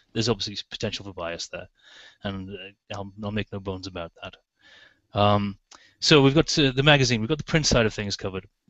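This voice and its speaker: A man with a fairly low pitch talks at a fairly quick pace in an English accent. His pitch varies in an ordinary way, and his loudness swings widely. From England. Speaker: magazine editor. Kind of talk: podcast interview answer.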